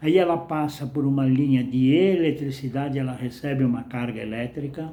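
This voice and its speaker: In a room with audible echo, a man speaks fairly slowly at a fairly high pitch, his tone dark and mellow and his intonation fairly even. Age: 80s+. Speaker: retired salesman and vlogger. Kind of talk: casual monologue.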